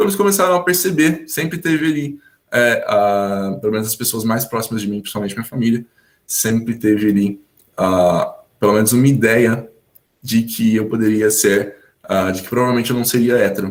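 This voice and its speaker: With lively intonation, a man speaks at a moderate pace and medium pitch in an unremarkable speaking voice. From São Paulo state, Brazil (Hortolândia). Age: 20s. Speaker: English teacher sharing personal story. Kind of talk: testimony.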